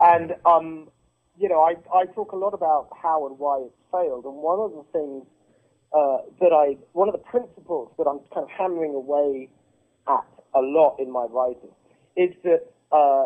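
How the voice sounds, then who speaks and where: With a British accent, a man speaks at a fairly high pitch and a moderate pace, using ordinary pitch variation. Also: big swings in loudness. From Britain. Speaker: political writer and activist. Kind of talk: political interview.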